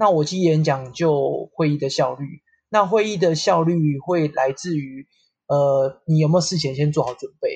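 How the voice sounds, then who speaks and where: A man speaks at a moderate pace with ordinary pitch variation. His voice sits fairly high. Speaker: real estate company staff. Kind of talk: casual chat. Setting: online call.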